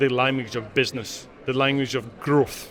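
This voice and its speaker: This man speaks in a Glaswegian accent. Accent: Glaswegian Scottish. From Scotland, Glasgow. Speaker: corporate sustainability leader. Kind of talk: interview.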